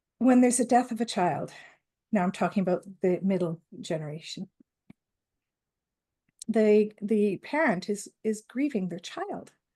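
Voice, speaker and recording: With a dark, mellow tone and medium pitch, a woman speaks at a fairly slow pace with lively intonation and long, frequent pauses. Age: old. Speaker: grandparent raising a grandchild. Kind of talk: interview answer.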